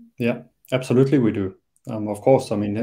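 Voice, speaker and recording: The voice has a dark, mellow tone and fairly even intonation. The background is quiet. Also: man. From South Africa. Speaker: startup co-founder and engineer; guest. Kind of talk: interview. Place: home room. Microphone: video call.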